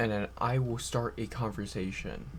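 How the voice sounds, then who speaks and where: In a room with audible echo, a man talks at a fairly slow pace and a fairly low pitch, with vocal fry. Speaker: vlogger. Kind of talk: casual monologue.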